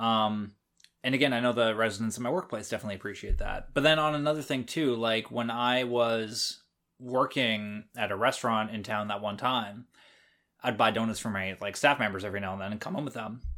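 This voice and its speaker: A man's bright, sharp voice at a medium pitch, fairly quick pace and ordinary pitch variation, on a very clean recording with a silent background. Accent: Canadian. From Canada. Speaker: podcast host. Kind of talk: casual chat.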